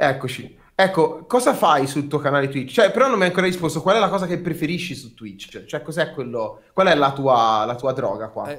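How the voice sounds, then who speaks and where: Over a quiet background, a man with a fairly high voice speaks at a moderate pace with lively intonation, big swings in loudness and hardly any pauses. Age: 30s. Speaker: streamer and host; streamer, host. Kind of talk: casual chat. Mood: playful, teasing. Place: home room.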